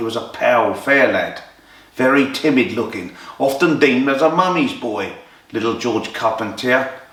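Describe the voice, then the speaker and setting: A man with an English accent, medium pitch and ordinary pitch variation at a moderate pace, amid noticeable background noise and audible room echo. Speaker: boxing storyteller. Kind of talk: storytelling narration. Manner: animated.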